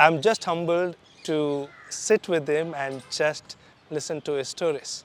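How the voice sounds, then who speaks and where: With noticeable background noise behind him, a man speaks slowly at a fairly high pitch. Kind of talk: casual talk to camera.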